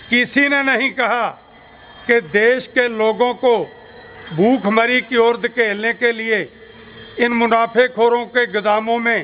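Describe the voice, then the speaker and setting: A man with a Punjabi accent raises and projects an extremely high-pitched voice with fairly even intonation over noticeable background noise. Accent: Punjabi-accented Hindi. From Punjab, India. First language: Punjabi (speaking Hindi). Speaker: farmers' union leader. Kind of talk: political speech at rally.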